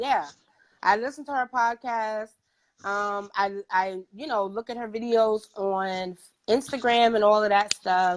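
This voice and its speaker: In a New York accent, the speaker goes at a fairly slow pace with an animated tone and ordinary pitch variation. The recording is very clean, with a silent background. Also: woman, fairly high pitch for a woman. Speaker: podcast host. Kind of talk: casual interview chat. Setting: livestream interview.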